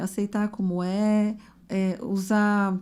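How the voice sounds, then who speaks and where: Her voice has a dark, mellow tone, and the woman speaks at a very slow pace. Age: 50s. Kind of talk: casual podcast conversation.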